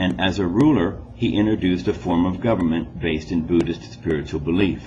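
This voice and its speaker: The intonation is lively. An echo from the room can be heard. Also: man. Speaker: school teacher. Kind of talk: recorded classroom test instructions.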